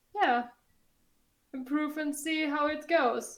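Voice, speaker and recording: A voice with a non-native accent and ordinary pitch variation. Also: woman. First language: not English. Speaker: podcast co-host. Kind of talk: casual chat. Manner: halting, searching for words.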